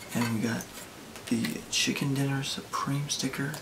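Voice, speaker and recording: Amid noticeable background noise and audible room echo, a man speaks in a monotone, flat intonation at a fairly slow pace. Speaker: sneaker vlogger. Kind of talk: casual vlog. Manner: quiet.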